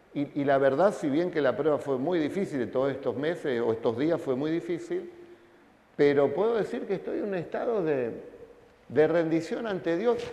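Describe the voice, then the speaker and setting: Noticeable background noise and audible room echo around a man's moderately paced speech. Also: fairly high pitch for a man, lively intonation. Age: 50s. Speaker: pastor. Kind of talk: sermon.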